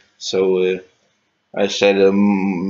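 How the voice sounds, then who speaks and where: A man with a fairly low pitch talks at a very slow pace. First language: not English. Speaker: guitar hobbyist youtuber. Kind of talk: casual gear rundown video. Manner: halting, many fillers and restarts.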